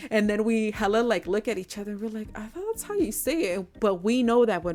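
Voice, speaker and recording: A woman with an American accent speaks with ordinary pitch variation as music plays in the background. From California. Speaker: podcast host. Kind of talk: casual podcast talk. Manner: casual, code-switching between English and Spanish.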